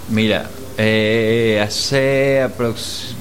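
The man's voice carries audible room echo, with noticeable background noise behind it. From Venezuela. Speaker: musician and producer. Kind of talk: casual interview.

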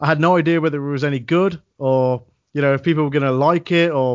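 With an ordinary speaking voice, a man talks at a fairly high pitch using fairly even intonation. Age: 30s. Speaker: wrestling commentator. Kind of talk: casual chat.

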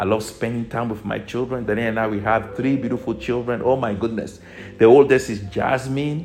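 A man's medium-pitched voice in an animated tone, with noticeable background noise. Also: fairly quick pace. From Togo. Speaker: spiritual teacher. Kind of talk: motivational teaching.

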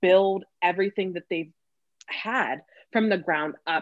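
A woman with an American accent has an unremarkable speaking voice at fairly low pitch. Her pitch variation is ordinary, and the background is quiet. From California. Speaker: podcast host. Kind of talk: interview.

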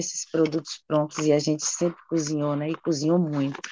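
The woman here speaks at a fairly low pitch. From Bahia, Chapada Diamantina (Brazil). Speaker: chef and restaurant owner. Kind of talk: interview conversation.

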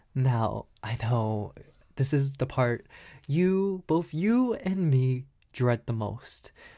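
Dark and mellow in tone, a man's somewhat breathy voice moves at a very slow pace with lively intonation. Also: very clean recording, silent background. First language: not English. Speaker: podcast host. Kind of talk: solo monologue book review. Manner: animated.

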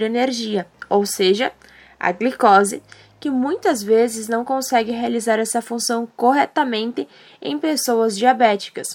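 Fairly high in pitch, a woman talks in a plain, everyday voice at a fairly slow pace with ordinary pitch variation. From southern Brazil, Rio Grande do Sul. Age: young. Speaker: podcast host, journalism student. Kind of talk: scripted narration.

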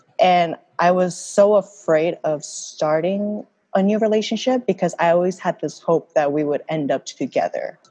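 This woman has a dark, mellow tone and a medium pitch. She moves at a moderate pace with ordinary pitch variation. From Korea. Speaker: podcast host. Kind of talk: casual chat podcast.

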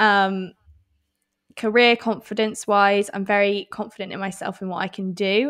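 In a very clean recording with a silent background, a woman with an English accent speaks at a moderate pace and medium pitch, her intonation fairly even but her loudness swinging widely. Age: 20s. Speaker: podcast co-host. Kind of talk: casual chat.

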